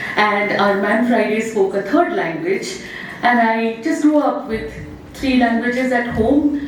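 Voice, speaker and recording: A woman with an Indian accent speaks at a fairly slow pace with a fairly high pitch and lively intonation, over noticeable background noise and audible room echo. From India, Odia-speaking region (Cuttack). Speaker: professor. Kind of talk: opening remarks at a public lecture.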